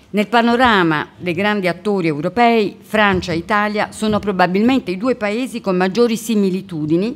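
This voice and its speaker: Her plain, everyday voice sits at medium pitch, as the woman speaks at a moderate pace with ordinary pitch variation. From Italy. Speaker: diplomat. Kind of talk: welcome speech. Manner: formal.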